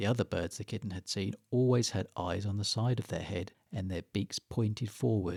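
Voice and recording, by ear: Pitch shifts in an ordinary way as the text is read aloud in a natural voice.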